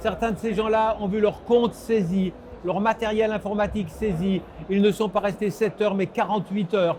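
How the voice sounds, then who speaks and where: Against noticeable background noise, a man with a high pitch speaks at a moderate pace with fairly even intonation. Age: 70s. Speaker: political scientist. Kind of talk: interview.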